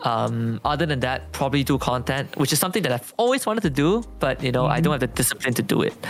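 The speech comes at a very fast pace with hardly any pauses. Music plays in the background. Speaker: esports shoutcaster. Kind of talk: casual interview chat.

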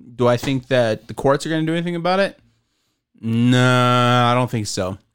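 An unremarkable speaking voice from a man at medium pitch and a moderate pace, in a very clean recording with a silent background. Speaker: podcast host. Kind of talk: casual chat. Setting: podcasting table.

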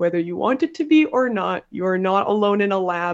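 A woman with a Canadian accent has a normal speaking voice at a medium pitch. She talks at a moderate pace with lively intonation. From Ontario, Canada. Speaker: college teacher and science podcast host. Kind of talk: casual interview chat.

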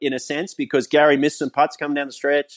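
A man's fairly high voice with an Australian accent, very fast, with ordinary pitch variation, dry and close with no echo, against a quiet background. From Australia, New South Wales. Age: 40s. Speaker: professional golfer. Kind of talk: interview.

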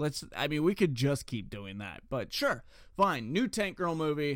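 In an ordinary speaking voice with an American accent, a man talks fairly slowly at a fairly high pitch with lively intonation, on a very clean recording with a silent background. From Ohio. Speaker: podcast host. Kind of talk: solo news commentary podcast. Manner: casual, with many filler words.

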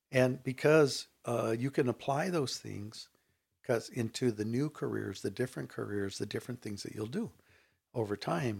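A man with an American accent speaks at medium pitch with ordinary pitch variation and vocal fry. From Inland Southern California (Riverside area). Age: 60s. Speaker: artist and educator. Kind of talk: casual interview conversation. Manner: halting, many fillers.

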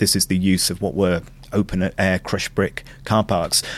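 Speaking here is a man with a Manchester accent. His pitch is fairly low. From northern England, Glossop near Manchester. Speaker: food and culture consultant. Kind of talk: interview.

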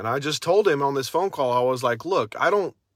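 Speaking at a very fast pace, a man comes through on a very clean recording with a silent background. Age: 30s. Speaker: podcast host, recovering addict sharing his story. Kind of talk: casual personal monologue livestream. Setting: in a car outside a house. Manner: casual, halting with fillers.

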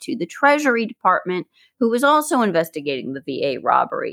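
A woman's fairly quick speech, very cleanly recorded against total silence, with a dry, close sound and no echo. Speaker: podcast co-host. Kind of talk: true-crime narration, two hosts trading off. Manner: even, factual delivery.

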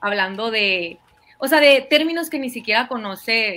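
A woman's high voice carries lively intonation. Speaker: YouTube political commentator. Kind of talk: casual livestream discussion.

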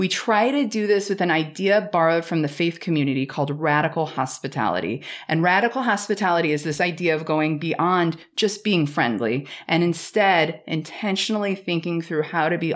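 A woman with an American accent speaks at a fairly low pitch and moderate pace, with ordinary pitch variation, very even loudness and hardly any pauses, on a very clean recording with a silent background. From US Midwest, St. Louis. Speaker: environmental educator. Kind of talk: casual interview. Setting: historic cabin at a nature reserve.

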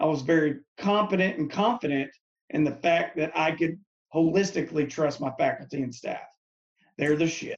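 A man talks at a moderate pace in a fairly high pitch with ordinary pitch variation. He has a plain, everyday voice. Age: 30s. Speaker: mental health counselor and Marine veteran. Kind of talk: casual chat.

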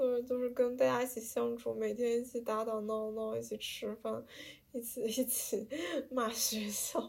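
A woman talks at a fairly slow pace, her fairly high pitch held in a monotone, flat intonation. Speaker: podcast host, art student abroad. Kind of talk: casual chat.

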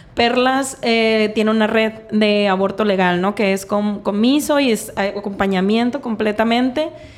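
Against noticeable background noise, a woman with a fairly high pitch talks at a fairly slow pace, her loudness very even and her intonation fairly even. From Mexico, Sinaloa (Mazatlán). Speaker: feminist activist. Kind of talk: casual interview.

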